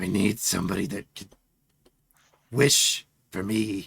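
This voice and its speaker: Raspy and fairly low-pitched, a man does a put-on character voice at a fairly slow pace. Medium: actual play. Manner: demanding, threatening.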